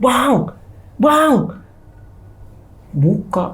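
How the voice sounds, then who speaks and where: The put-on character voice leaps through very wide pitch swings. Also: woman, medium pitch for a woman. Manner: urgent, frantic.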